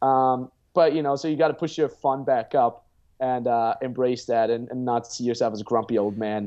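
A man with an Austrian accent and fairly even intonation. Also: medium pitch for a man, moderate pace. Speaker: pickup artist and dating coach. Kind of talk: casual interview chat. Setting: video call.

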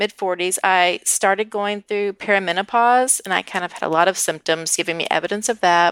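This woman has an ordinary speaking voice, with ordinary pitch variation at a moderate pace, and the sound is dry and close with no echo. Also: very clean recording, silent background. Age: 40s. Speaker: coaching client, former teacher. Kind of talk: coaching session.

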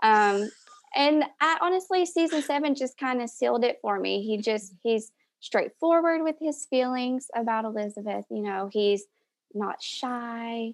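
Speaking fairly slowly in a Southern US accent, a woman uses a high pitch and lively intonation. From Tennessee, Knoxville. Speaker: fan of a TV show, stay-at-home mom. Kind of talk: casual chat.

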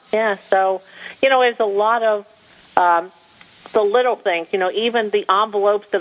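A woman talks at a medium pitch. Noticeable background noise can be heard. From New Jersey. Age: 50s. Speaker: small business owner. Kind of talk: interview.

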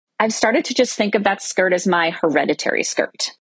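A woman with a plain, everyday voice talks at a medium pitch with lively intonation. The sound is dry and close, with no echo. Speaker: podcast listener. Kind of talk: recorded voice memo.

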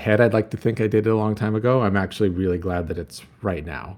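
Speaking very fast, a man keeps his intonation fairly even. His pitch is fairly low. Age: 50s. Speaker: retail executive and author. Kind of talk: interview.

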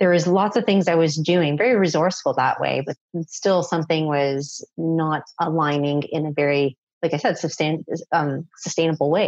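A woman speaks in a normal speaking voice with a Canadian accent, her pitch fairly low and varying in an ordinary way. She keeps a moderate pace against a quiet background. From Canada, Toronto. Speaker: parenting coach. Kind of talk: interview.

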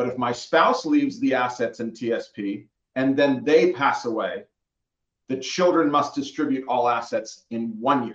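A man talks at a moderate pace with medium pitch and ordinary pitch variation. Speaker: certified financial planner. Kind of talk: radio interview. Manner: clear.

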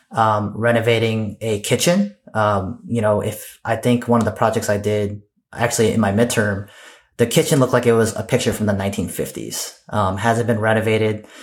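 Here is a man with a normal speaking voice at medium pitch. He keeps a moderate pace and fairly even intonation. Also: very clean recording, silent background. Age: 30s. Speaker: army officer and real estate investor. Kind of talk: interview.

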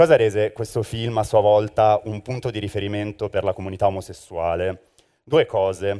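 A man's fairly low, dark, mellow voice on a very clean recording with a silent background. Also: moderate pace. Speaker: podcast host. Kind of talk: scripted live presentation. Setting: stage with audience.

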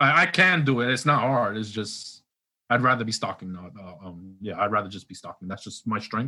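A man from a New York accent background speaks at a moderate pace in a bright, sharp tone of medium pitch. His intonation is lively, with big swings in loudness. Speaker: grocery store worker; former Marine. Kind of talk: casual phone interview.

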